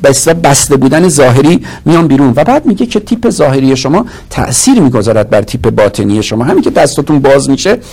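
Through noticeable background noise, a man races along at a very fast pace in a fairly high pitch, his pitch swinging very widely while his loudness stays very even. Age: 50s. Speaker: marketing professor and business consultant. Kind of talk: interview.

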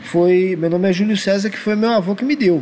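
A man's high voice at a fairly quick pace, with noticeable background noise. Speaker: podcast host. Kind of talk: casual chat.

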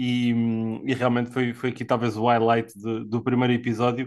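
A man speaks at a medium pitch and a moderate pace. The background is quiet. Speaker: podcast host, NFL commentator. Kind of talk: casual sports panel discussion.

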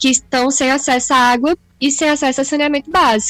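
A woman talks at a fairly quick pace. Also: dry, close sound with no echo. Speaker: podcast co-host. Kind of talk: casual chat. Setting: video call.

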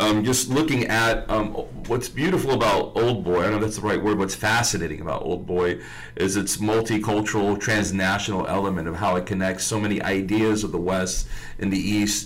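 Over noticeable background noise and audible room echo, a man with a fairly low pitch speaks at a fairly quick pace and very even loudness. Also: ordinary pitch variation. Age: 40s. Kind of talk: casual chat. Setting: radio studio.

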